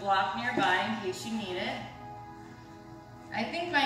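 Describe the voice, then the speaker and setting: Over clear music in the background, a woman speaks at a fairly slow pace with audible room echo. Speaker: yoga instructor. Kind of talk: yoga class instruction. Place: home room. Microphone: camera far.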